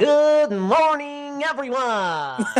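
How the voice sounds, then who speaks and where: Over clear background noise, a man does a put-on character voice at an extremely high pitch. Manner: exaggerated, cartoonish.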